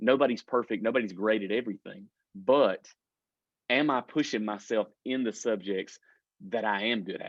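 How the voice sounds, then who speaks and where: Over a quiet background, a man's voice comes through dry and close with no echo. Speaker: student advisor coordinator. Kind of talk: recorded training presentation. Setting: video recording with screen share. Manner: fast when excited; halting, many fillers.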